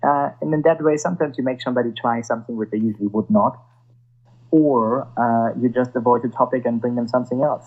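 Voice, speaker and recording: A man with a German accent, music in the background. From Germany. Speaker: sommelier. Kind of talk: interview. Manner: halting.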